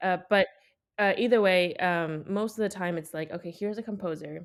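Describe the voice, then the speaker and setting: A woman's ordinary speaking voice, fairly low in pitch, with fairly even intonation at a moderate pace on a very clean recording with a silent background. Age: 20s. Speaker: violinist, competition winner. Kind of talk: interview, casual conversation.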